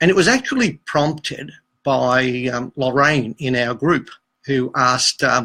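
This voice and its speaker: A man speaks at a fairly slow pace and medium pitch, with a bright, sharp tone, fairly even intonation, and a dry, close sound with no echo. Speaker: dating coach. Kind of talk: casual chat. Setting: Facebook live stream. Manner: hesitant, many fillers.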